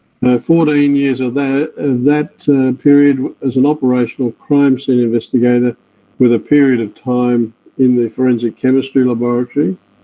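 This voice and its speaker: Medium pitch from a man at a moderate pace, his intonation fairly even. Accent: Australian. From Australia. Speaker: forensic scientist. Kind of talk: webinar lecture.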